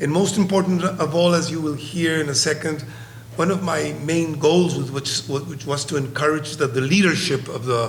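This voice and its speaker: With a Spanish accent, a man speaks at a moderate pace in a fairly high voice with ordinary pitch variation, amid audible room echo and noticeable background noise. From Colombia. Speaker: psychiatrist. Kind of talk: conference presentation. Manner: halting.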